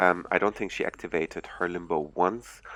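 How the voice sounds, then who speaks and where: Speaking slowly-ish with a German accent, a man's very deep, low voice comes through dry and close with no echo. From Germany. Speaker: gaming YouTuber. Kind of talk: gameplay commentary. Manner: hesitant, many fillers.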